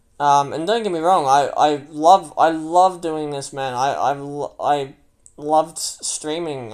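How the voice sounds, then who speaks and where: On a very clean recording with a silent background, a man with an Australian accent speaks at a fairly high pitch. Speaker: gamer and livestreamer. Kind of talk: livestream monologue. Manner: loud.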